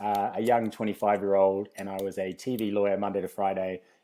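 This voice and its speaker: A man with a New Zealand accent speaks in a dark, mellow tone at a fairly low pitch, in a very clean recording with a silent background. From New Zealand, Christchurch. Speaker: fitness company founder. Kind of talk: casual interview. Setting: in person podcast.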